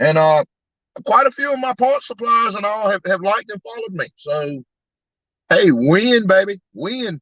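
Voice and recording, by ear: At a fairly slow pace, a man with a high pitch and fairly bright tone speaks with lively intonation in a dry, close sound with no echo.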